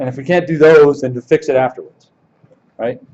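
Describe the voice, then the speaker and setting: A man with a fairly high voice speaks at a fairly quick pace. His intonation stays fairly even. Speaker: conference speaker, security professional. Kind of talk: conference talk Q&A. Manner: fast.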